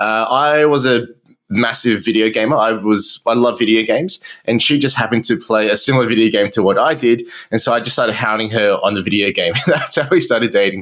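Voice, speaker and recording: On a very clean recording with a silent background, a man of medium pitch talks at a fairly quick pace. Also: ordinary pitch variation. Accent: Australian. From Australia. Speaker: marketing entrepreneur. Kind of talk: interview.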